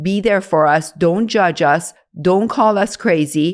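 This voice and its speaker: Speaking at a very slow pace, a woman uses lively intonation. Her pitch is medium, and the recording is very clean with a silent background. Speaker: OBGYN doctor. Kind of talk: podcast conversation.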